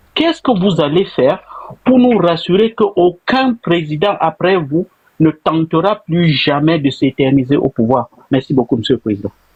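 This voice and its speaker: The pace is fairly slow. Loudness swings a lot, and the pitch swings very widely. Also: man, fairly high pitch for a man. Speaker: caller. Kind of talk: question to politician in interview. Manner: formal.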